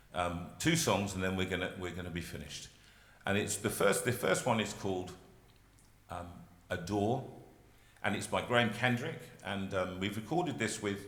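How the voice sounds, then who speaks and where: With audible room echo, a man speaks at a moderate pace in a fairly low pitch, his tone bright and sharp and his pitch variation ordinary. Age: 60s. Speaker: singer and carol service leader. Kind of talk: hosting a carol service. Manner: halting.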